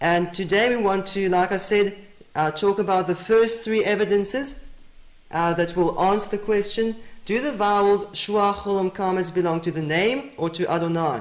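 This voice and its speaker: Someone talks at a moderate pace with a South African accent. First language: Afrikaans. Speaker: Bible teacher. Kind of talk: lecture.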